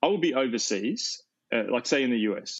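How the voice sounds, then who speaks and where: Using ordinary pitch variation, a man talks with an Australian accent. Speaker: pastor and author. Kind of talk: interview conversation.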